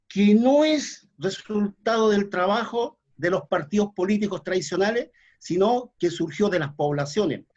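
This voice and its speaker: With a Chilean accent, a man speaks in a high pitch using lively intonation. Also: fairly slow pace. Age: 60s. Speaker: folk musician and community activist. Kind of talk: panel discussion. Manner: halting, many fillers. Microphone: too quiet.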